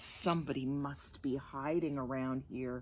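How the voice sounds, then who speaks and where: This is a put-on character voice. It sits at a low-to-middle pitch. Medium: read story.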